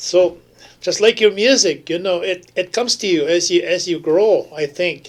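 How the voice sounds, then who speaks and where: Moving at a moderate pace, a man speaks in a high voice. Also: ordinary pitch variation. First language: Ojibwe (Anishinaabemowin). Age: 70s. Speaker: elder, language speaker and traditional medicine maker. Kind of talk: radio interview, casual storytelling. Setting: radio studio. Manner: halting, many restarts.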